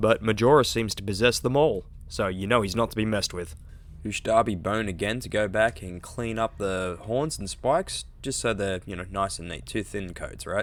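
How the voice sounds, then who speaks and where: With an Australian accent, a man talks at a fairly quick pace and ordinary pitch variation. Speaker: hobby maker, miniature painter. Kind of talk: casual hobby tutorial talk to camera.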